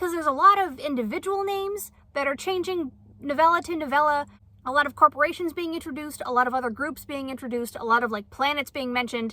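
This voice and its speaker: A woman talks at a very fast pace in a raised, projected voice with a high pitch. Her intonation is lively and her tone bright and sharp. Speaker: book reviewer. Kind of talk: casual chat. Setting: outdoors, camping in converted van. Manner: stuttering, self-correcting.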